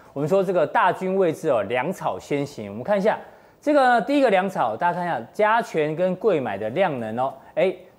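A man with a high pitch speaks at a fairly quick pace, his voice making very wide pitch swings. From Taiwan. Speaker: TV finance show host. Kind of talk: studio panel discussion. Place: studio. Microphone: lapel.

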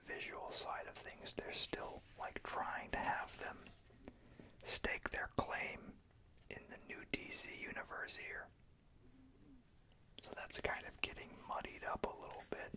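Someone whispers, soft-spoken, at a fairly slow pace with long, frequent pauses. Noticeable background noise can be heard. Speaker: comic book reviewer. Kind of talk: casual review commentary. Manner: soft ASMR whisper. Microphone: phone near.

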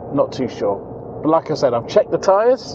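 A man talks at a moderate pace over noticeable background noise. The sound is dry, with no echo. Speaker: travel vlogger. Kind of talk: casual vlog chat. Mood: mildly concerned, calm. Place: car. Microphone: lapel.

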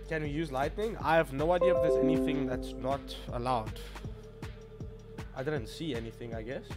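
Over loud background music, a man talks at a fairly quick pace, broken by long, frequent pauses. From Namibia. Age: 20s. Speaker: gaming streamer. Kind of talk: casual live-stream talk while gaming. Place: home room. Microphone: studio mic.

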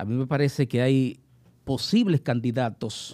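Against a quiet background, a man talks fairly slowly with ordinary pitch variation. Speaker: guest commentator. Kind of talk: casual panel discussion. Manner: jokey, animated. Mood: calm analytical. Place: studio. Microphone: studio mic.

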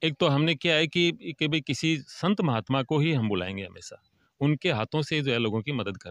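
Against a quiet background with dry, echo-free sound, a man speaks at a moderate pace in a fairly high voice with lively intonation. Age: 60s. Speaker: retired lecturer, village charity organiser. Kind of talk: interview. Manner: hesitant, many fillers. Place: open country. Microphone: handheld.

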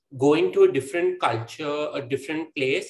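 Moderate pacing from a man, the room echo clearly audible. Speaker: guest. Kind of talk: interview answer. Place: home room. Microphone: video call.

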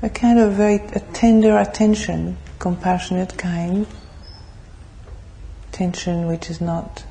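Through noticeable background noise, a woman speaks in a calm tone at a fairly slow pace. She takes long, frequent pauses. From France. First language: French. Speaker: Buddhist nun, meditation teacher. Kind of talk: guided meditation. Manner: slow, soft-spoken, calm.

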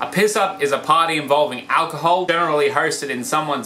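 With an Australian accent, a man talks fairly quickly in a fairly high voice with lively intonation over light background noise. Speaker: comedy vlogger. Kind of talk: comedic explainer talk to camera. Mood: deadpan humorous. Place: home room. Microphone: phone near.

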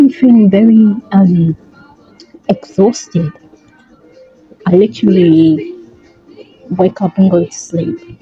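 Over faint background music, a woman speaks very slowly with lively intonation and long, frequent pauses. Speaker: vlogger. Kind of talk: casual vlog talk to camera. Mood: reflective, tired. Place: home room. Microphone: phone near.

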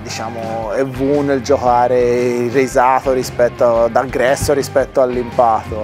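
A man at a fairly slow pace, with clear music playing in the background. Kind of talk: interview answer. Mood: calm, explanatory.

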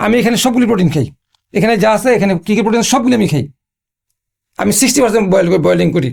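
Intonation is lively and loudness very even as a man speaks at a high pitch. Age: 60s. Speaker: patient sharing recovery story. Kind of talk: testimony.

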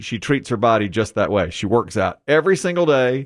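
The background is quiet. A man's intonation is lively throughout. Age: 50s. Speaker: morning show radio host. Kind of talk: casual chat. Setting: studio. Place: studio. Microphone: studio mic.

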